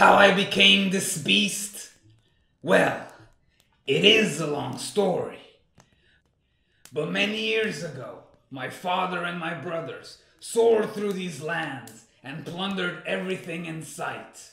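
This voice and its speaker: A man puts on a high-pitched character voice. Long, frequent pauses break it up, and a slight echo is audible. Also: fairly slow pace. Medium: machinima. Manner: gruff, commanding.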